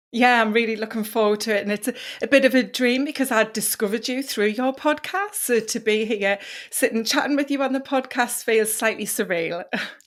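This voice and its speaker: A woman with a British accent speaks at a fairly quick pace. Her pitch is fairly high, with ordinary variation. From northeast England. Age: 40s. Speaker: wellness coach. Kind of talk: podcast interview.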